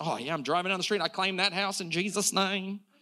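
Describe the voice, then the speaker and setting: An animated, bright, sharp, raised and projected voice with an American accent at a moderate pace, in a very clean recording with a silent background. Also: man. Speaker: pastor. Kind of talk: sermon. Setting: church.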